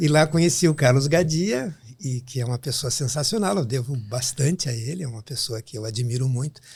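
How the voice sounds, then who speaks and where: A somewhat breathy man's voice at a medium pitch, fairly quick, with ordinary pitch variation. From southern Brazil, Rio Grande do Sul (São Borja). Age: 60s. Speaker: pediatric neurologist. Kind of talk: podcast interview.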